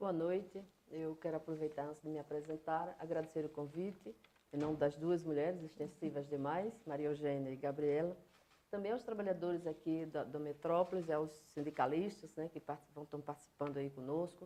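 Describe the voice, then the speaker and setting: A woman with a very deep, low pitch and a dark, mellow tone talks at a fairly quick pace with fairly even intonation. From Paraíba, northeastern Brazil. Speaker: political candidate and professor. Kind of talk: interview.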